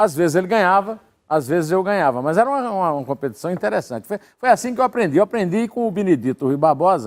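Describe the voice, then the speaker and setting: A man's very fast, high-pitched voice with very wide pitch swings, on a very clean recording with a silent background. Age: 60s. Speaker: journalist and writer, political commentator. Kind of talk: interview, casual conversation. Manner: improvised, hesitant with repetitions.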